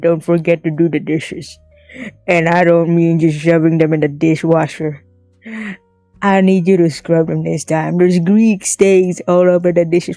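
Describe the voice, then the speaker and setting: Loud and gruff, a put-on character voice sits at middle pitch and moves at a moderate pace over faint background music. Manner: sleazy.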